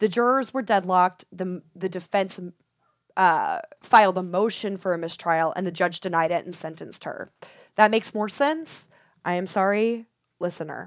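This woman has a normal speaking voice and an American accent, talking at a moderate pace and medium pitch with ordinary pitch variation. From Texas. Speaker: podcast co-host. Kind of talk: casual chat; storytelling.

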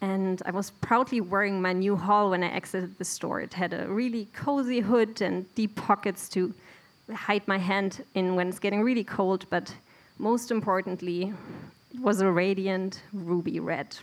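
Delivered at a moderate pace with fairly even intonation, the speech carries a German accent. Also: woman, medium pitch for a woman. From Germany, Bielefeld. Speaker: immigrant storyteller. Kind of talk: live storytelling. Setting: stage with audience.

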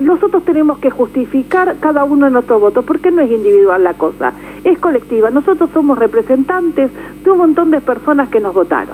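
Very wide pitch swings and very even loudness at a fairly quick pace, amid noticeable background noise. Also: woman, high pitch for a woman. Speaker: politician. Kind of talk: radio interview. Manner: animated.

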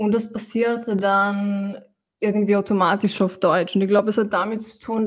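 A woman with a Slovenian accent talks at a fairly slow pace in a monotone, flat delivery at medium pitch. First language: Slovenian (speaking German). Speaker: musician and poet. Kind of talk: interview. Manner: halting.

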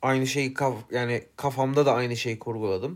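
The recording is very clean, with a silent background. A man talks at a fairly slow pace and medium pitch. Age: 20s. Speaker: podcast co-host, F1 commentator. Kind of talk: casual chat. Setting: studio, face to face.

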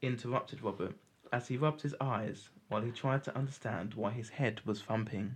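Reading aloud, plain

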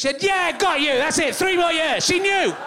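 A man talks very fast in a raised, projected voice over noticeable background noise. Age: 40s. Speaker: comedian. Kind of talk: stand-up. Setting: stage with audience.

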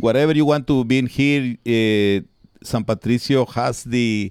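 In a very clean recording with a silent background, a man talks at a fairly slow pace with ordinary pitch variation. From Guatemala. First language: Spanish. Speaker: town mayor and coffee farmer. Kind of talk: interview. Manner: halting.

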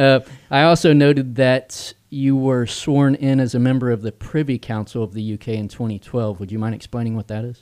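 A plain, everyday voice at a fairly quick pace with ordinary pitch variation, in a very clean recording with a silent background. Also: man, medium pitch for a man. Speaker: radio talk show host. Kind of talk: interview. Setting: studio.

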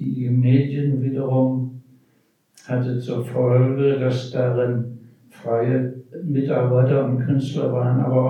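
Over noticeable background noise and audible room echo, the speech moves at a very slow pace. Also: man. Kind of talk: panel discussion.

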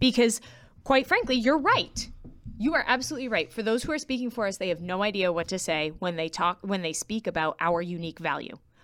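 With an American accent, a woman talks at a fairly quick pace in a medium pitch, her pitch swinging very widely. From US Northeast, South Shore Massachusetts. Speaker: music educator. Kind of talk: casual interview.

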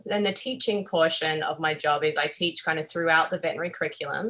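Speaking with an Australian accent, a woman uses a fairly low pitch with ordinary pitch variation. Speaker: veterinary surgeon and professor. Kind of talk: interview.

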